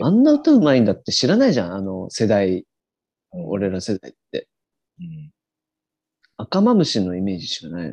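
Speaking at a fairly quick pace, a man makes long, frequent pauses, his loudness swinging widely in a dry, close sound with no echo. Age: 20s. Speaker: podcast co-host. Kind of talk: casual chat. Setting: video call. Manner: animated.

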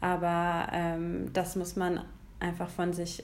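A woman speaks in a flat, monotone way at a fairly low pitch. Room echo can be heard. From Germany, Hesse. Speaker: podcast co-host. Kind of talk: casual chat.

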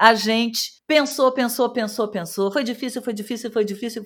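On a very clean recording with a silent background, a woman speaks with a southern Brazilian accent. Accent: gaúcho accent, still present. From Rio Grande do Sul, southern Brazil. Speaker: radio host. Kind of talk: casual radio chat.

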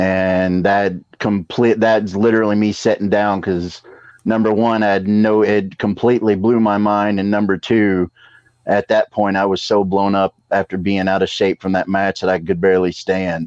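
A man with a slight Southern US accent, fairly low pitch, monotone, flat intonation and very even loudness, dry and close with no echo. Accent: slight Southern drawl. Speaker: pro wrestler and wrestling school trainer. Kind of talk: casual chat.

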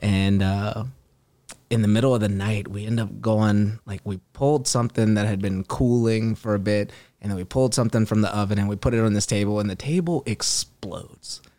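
A man talks at a fairly quick pace in a dark, mellow tone with fairly low pitch and fairly even intonation. The recording is very clean, the background silent. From Louisiana. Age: 30s. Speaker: fitness entrepreneur. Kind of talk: casual chat. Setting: studio.

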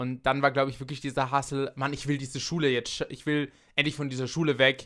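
In a very clean recording with a silent background, a man speaks at a fairly quick pace, his medium-pitched voice bright and sharp in tone with monotone, flat intonation. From Austria. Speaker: podcast host. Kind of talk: casual chat.

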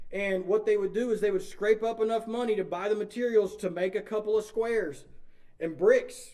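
A man's high-pitched voice with an East Texas accent, fairly quick pace and fairly even intonation. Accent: East Texas Southern US. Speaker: pastor. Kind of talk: sermon. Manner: informal, conversational, filler-heavy.

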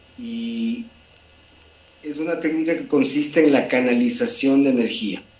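A man talks fairly slowly at a fairly high pitch, his voice swinging very widely up and down. Long, frequent pauses break up his speech over noticeable background noise. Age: 40s. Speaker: holistic therapist. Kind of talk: interview.

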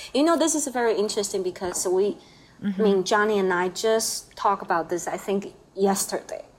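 A woman's fairly quick, lively speech in a Chinese accent, with hardly any pauses. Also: medium pitch for a woman. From Taiwan. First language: Mandarin Chinese. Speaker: painter. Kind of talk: casual chat. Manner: halting.

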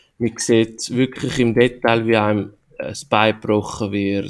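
A man's medium-pitched voice at a fairly slow pace. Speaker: podcast host. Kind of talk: casual chat.

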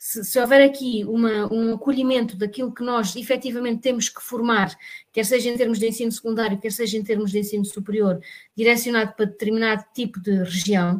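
This woman talks at a fairly quick pace. Her voice is fairly high, with fairly even intonation. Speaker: teacher. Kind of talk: casual chat. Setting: video call.

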